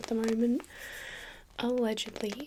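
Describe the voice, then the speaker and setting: Soft-spoken, a woman talks at a fairly high pitch. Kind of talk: ASMR soft-spoken talk to camera.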